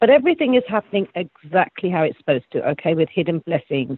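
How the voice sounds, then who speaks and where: A man with an English accent speaks with lively intonation. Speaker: psychic reader. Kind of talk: spiritual reading.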